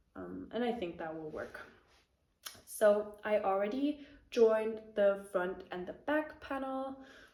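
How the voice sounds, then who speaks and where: A woman in a German accent, fairly slow, with lively intonation and audible room echo. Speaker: knitting podcaster. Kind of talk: casual chat. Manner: hesitant, many fillers.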